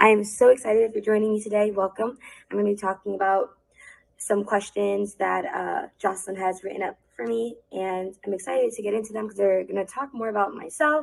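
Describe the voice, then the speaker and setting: Intonation stays fairly even as the words come at a fairly quick pace. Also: woman, medium pitch for a woman. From New Jersey, Plainfield; Puerto Rican family. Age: 20s. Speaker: dancer. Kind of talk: pre-recorded video talk. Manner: casual, filler-heavy.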